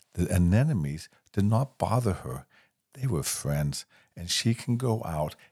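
Reading in an unforced voice, the speaker uses lively intonation while the background stays quiet.

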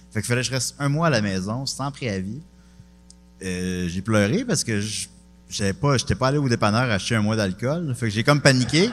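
Speaking with a Quebec accent at a moderate pace and medium pitch, a man shows ordinary pitch variation and takes long, frequent pauses. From Quebec, Charny near Quebec City. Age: 30s. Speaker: comedian. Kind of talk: casual chat.

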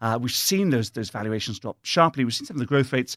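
A man in a British accent with ordinary pitch variation, on a very clean recording with a silent background and a dry, close sound without echo. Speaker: investment officer guest. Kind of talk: interview conversation. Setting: studio. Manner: thoughtful, hesitant with fillers.

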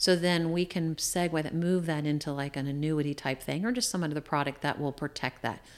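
At a fairly quick pace with hardly any pauses, a woman speaks at a very deep, low pitch on a very clean recording with a silent background. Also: ordinary pitch variation. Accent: American. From Shenandoah Valley, Virginia. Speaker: life insurance broker and retirement specialist. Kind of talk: interview conversation.

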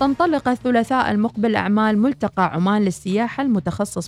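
Her medium-pitched voice swings very widely in pitch as the woman speaks. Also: dry, close sound with no echo. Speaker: radio host. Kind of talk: reading listener messages; news reading.

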